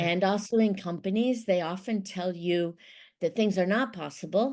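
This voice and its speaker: Over a quiet background, a woman with an American accent speaks in an ordinary speaking voice of medium pitch, at a moderate pace with ordinary pitch variation and very even loudness. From Ohio, USA. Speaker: intercultural mediator. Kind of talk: podcast interview answer.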